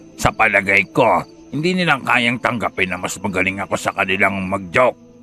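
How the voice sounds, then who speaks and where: A man puts on a raspy character voice with a fairly low pitch. He speaks at a moderate pace over clear music in the background. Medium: audio drama. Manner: playful, teasing.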